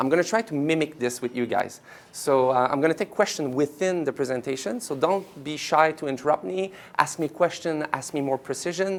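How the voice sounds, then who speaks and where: This man talks at a fairly quick pace with a French Canadian accent. His voice sits fairly high and shows ordinary pitch variation. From Quebec. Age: 40s. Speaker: company executive. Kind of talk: workshop presentation. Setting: office event with live audience.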